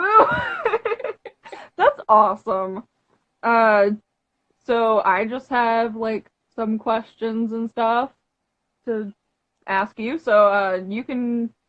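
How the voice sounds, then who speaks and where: A woman speaks at a very slow pace in a fairly high pitch with ordinary pitch variation. The sound is dry and close, with no echo. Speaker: interviewer. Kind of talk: interview. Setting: live video stream. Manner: loud.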